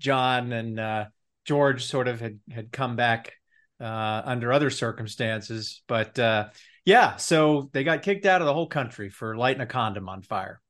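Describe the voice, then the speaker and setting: An ordinary speaking voice moves at a moderate pace. The background is quiet. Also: man, medium pitch for a man, ordinary pitch variation. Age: 50s. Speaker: author. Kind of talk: interview.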